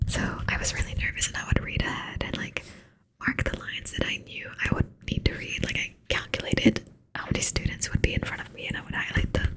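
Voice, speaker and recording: Someone is whispering. The pace is very fast. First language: not English. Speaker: ASMR creator. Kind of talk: ASMR reading aloud with casual chat. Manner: soft-spoken; hesitant, many fillers.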